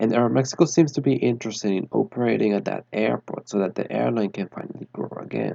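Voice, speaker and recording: A man with a Spanish accent talks at a fairly quick pace and a fairly low pitch. His voice has vocal fry and ordinary pitch variation. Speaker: aviation enthusiast YouTuber. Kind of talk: narrated airline analysis.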